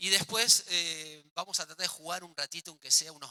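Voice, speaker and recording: A man speaks in a bright, sharp tone. The sound is dry and close, with no echo. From Argentina. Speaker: physical education teacher, workshop leader. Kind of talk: workshop lecture. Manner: fast.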